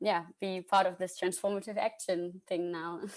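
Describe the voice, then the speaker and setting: Here the speaker is a woman with a medium-pitched voice. She keeps to a moderate tempo. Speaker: medical student. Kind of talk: short online presentation. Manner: hesitant, many fillers.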